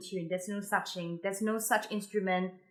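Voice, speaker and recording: The woman's voice has a bright, sharp tone and a monotone, flat intonation. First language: Mandarin. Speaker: musician giving practice tips. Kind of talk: tutorial. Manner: casual, hesitant with fillers.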